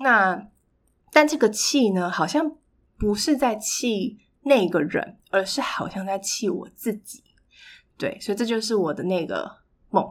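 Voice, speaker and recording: Speaking at a fairly slow pace with lively intonation, a woman leaves long, frequent pauses in a very clean recording with a silent background. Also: fairly high pitch for a woman. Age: 20s. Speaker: podcast host. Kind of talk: solo monologue. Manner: hesitant fillers.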